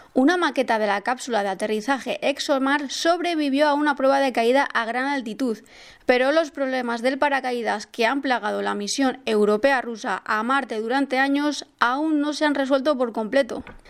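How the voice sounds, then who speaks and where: A high-pitched woman speaks at a moderate pace with ordinary pitch variation and hardly any pauses. The recording is very clean, with a silent background. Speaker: space news podcast host. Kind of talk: scripted news narration.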